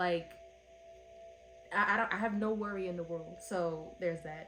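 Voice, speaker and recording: With music in the background and audible room echo, a woman of medium pitch talks at a moderate pace with fairly even intonation. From Philadelphia, US. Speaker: book reviewer. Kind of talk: casual review monologue.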